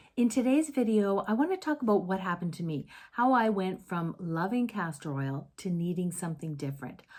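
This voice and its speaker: A woman speaks at a moderate pace and medium pitch, her dark, mellow tone somewhat breathy and her intonation lively, on a very clean recording with a silent background. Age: 60s. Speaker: former esthetician. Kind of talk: casual talk to camera.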